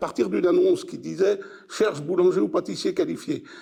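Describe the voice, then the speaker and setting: A man's dark, mellow voice at a moderate pace, with very wide pitch swings. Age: 70s. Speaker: retired factory worker. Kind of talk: oral history interview. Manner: halting, with repetitions.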